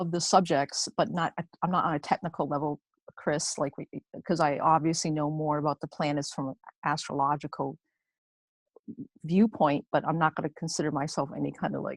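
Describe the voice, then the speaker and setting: A woman's very deep, low voice at a fairly quick pace, with fairly even intonation and a dry, close sound with no echo. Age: 60s. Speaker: mastermind group participant. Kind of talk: casual group discussion. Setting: video call. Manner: halting, many fillers and restarts.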